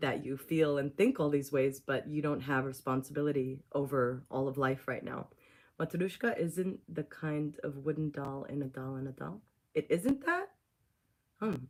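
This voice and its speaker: A woman's very deep, low voice moves at a moderate pace. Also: ordinary pitch variation. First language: Russian. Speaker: spiritual teacher and channeler. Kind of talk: spiritual teaching on a livestream. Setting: YouTube livestream.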